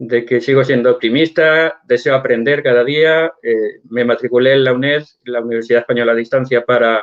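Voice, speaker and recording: A plain, everyday voice from a man at medium pitch, moderate pace, fairly even intonation and hardly any pauses. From Spain. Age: 60s. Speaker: church member guest. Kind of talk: interview.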